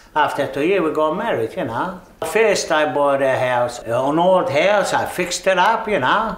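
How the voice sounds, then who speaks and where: A man with a Maltese accent talks at a fairly high pitch and moderate pace with ordinary pitch variation, with audible room echo and noticeable background noise. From Malta. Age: 70s. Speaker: migrant interviewee. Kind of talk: interview.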